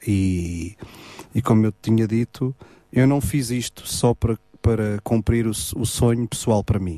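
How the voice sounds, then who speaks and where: Speaking with a European Portuguese accent at a fairly slow pace, this voice has a dark, mellow tone and ordinary pitch variation in a dry, close sound with no echo. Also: man, medium pitch for a man. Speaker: gospel singer. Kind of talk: radio interview. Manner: halting, many repetitions.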